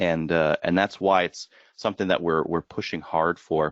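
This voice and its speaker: He speaks with a Canadian accent. The man's pace is fairly quick. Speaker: marketing executive. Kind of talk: webinar presentation. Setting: online webinar. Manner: fast; hesitant with frequent fillers.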